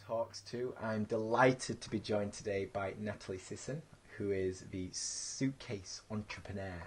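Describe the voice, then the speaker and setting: A man speaks in a Yorkshire accent with a fairly low pitch. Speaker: podcast host. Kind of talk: interview.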